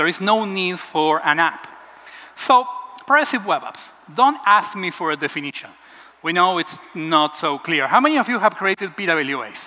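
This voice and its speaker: Raised and projected, a high-pitched man's voice carries an Argentine accent and lively intonation at a moderate pace. Noticeable background noise can be heard. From Argentina, Buenos Aires. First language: Spanish. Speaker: web developer. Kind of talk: conference talk.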